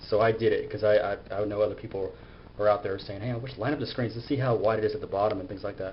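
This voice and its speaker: A man mumbles at a medium pitch with fairly even intonation over noticeable background noise. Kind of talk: casual gadget review to camera. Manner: mumbling, halting.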